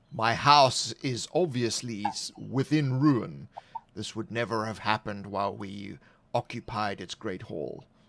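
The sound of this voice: Fairly slow, medium-pitched character voice put on by a man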